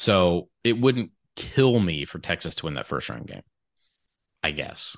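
Against a quiet background, a man with a very deep, low pitch and vocal fry talks at a fairly slow pace, his pitch swinging very widely and his loudness shifting a lot. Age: 30s. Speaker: college basketball podcaster. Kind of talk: casual chat. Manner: animated.

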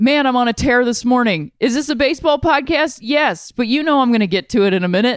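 A woman's high voice with an American accent, very fast with hardly any pauses, lively in intonation and very even in loudness, in a very clean recording with a silent background. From Ohio, Akron. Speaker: podcast host. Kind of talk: casual chat.

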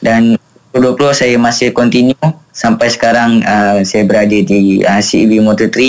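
A man's medium-pitched voice at a fairly slow pace, with very even loudness and fairly even intonation. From Malaysia. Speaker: motorcycle racer. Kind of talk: radio interview. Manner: halting, many fillers.

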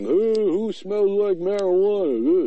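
His voice is a put-on character voice. The man's pitch sits high.

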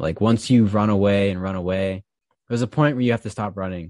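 In a normal speaking voice, a man talks at a moderate pace with a fairly low pitch and ordinary pitch variation, the sound dry and close with no echo in a very clean recording with a silent background. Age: 20s. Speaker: high school teacher and podcaster. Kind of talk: casual chat.

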